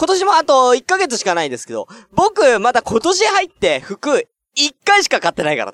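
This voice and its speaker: A man speaks with an extremely high pitch. His pitch swings very widely. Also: moderate pace, dry, close sound with no echo. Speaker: internet radio host. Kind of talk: casual solo talk. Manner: low energy.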